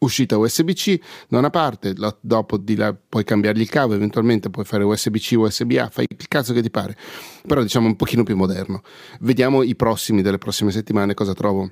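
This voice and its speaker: A man speaks at a fairly quick pace in a fairly low voice, with ordinary pitch variation. The recording is very clean and dry, close-miked with no echo against a silent background. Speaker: podcaster reviewing microphones. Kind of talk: casual monologue.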